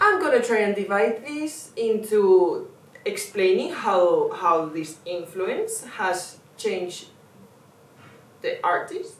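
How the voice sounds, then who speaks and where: In a non-native accent, a woman speaks very slowly amid audible room echo. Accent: non-native English, self-noted pronunciation. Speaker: artist and video essayist. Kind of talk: video essay monologue. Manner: impassioned, urgent; slight stumbles and fillers.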